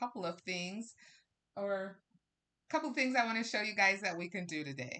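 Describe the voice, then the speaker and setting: Loud and at a medium pitch, a woman talks in a bright, sharp tone. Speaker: crafting livestream host. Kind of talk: live crafting tutorial. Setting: livestream with camera.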